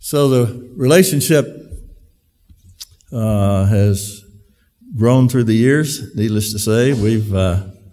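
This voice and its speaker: A man's medium-pitched voice with a dark, mellow tone, very slow pace, long and frequent pauses, ordinary pitch variation and very even loudness. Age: 70s. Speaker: event speaker, brother of company owner. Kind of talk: speech to employees. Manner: halting, many fillers.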